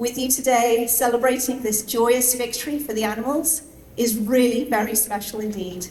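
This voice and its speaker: A woman with a non-native accent speaks in a high pitch with fairly even intonation, amid noticeable background noise and audible room echo. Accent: noticeable foreign. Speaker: animal rights activist. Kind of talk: speech at celebration event. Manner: hesitant, many fillers.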